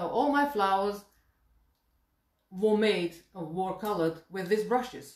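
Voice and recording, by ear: A woman speaks at a medium pitch with a slightly mellow tone. Room echo is audible.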